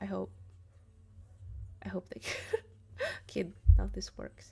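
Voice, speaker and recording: Her accent is non-native. This woman talks at a moderate speed. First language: not English. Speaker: keyboard streamer. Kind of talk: live stream, casual chat. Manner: casual, hesitant with fillers.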